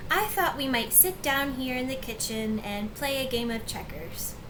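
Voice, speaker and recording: A woman's strained, high put-on character voice at a moderate pace, over noticeable background noise. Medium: read story. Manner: strained, falsely bright.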